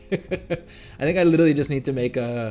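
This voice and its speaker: The speaker is a man. His tone is dark and mellow. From India. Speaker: gaming streamer. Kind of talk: live gameplay stream chat. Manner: casual, filler-heavy with repetitions.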